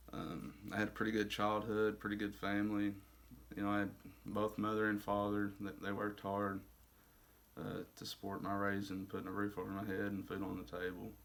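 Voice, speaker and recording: In an Arkansas accent, a man speaks at a fairly quick pace with a fairly low pitch and monotone, flat intonation. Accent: Southern US (Arkansas). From US South, Arkansas. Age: 20s. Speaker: recovering addict in a faith-based rehab program. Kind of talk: testimony. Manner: halting, many fillers.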